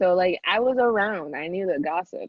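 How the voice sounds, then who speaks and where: Lively intonation from a woman with a Spanish accent, at a moderate pace. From Mexico. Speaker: podcast co-host. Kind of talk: casual chat.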